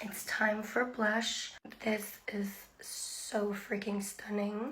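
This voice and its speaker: A woman talks at a fairly high pitch with monotone, flat intonation. Audible room echo can be heard. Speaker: beauty influencer. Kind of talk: makeup tutorial. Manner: casual, chatty.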